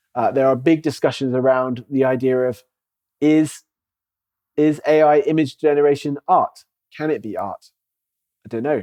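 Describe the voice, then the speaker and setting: A man speaks at a medium pitch with a dark, mellow tone and fairly even intonation. The sound is dry and close, with no echo. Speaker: church elder and speaker on AI. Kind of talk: lecture. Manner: fast.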